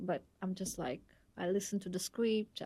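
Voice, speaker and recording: A woman with a Russian accent speaks at a moderate pace with fairly even intonation. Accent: Russian-accented Bangla. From Russia, Moscow. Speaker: dancer and entrepreneur. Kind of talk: podcast interview.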